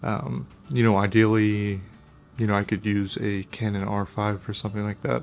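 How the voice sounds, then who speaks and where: Quiet and fairly low-pitched, a man speaks. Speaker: camera gear youtuber. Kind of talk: casual vlog review. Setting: at home, kids sleeping nearby. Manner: quiet, hushed.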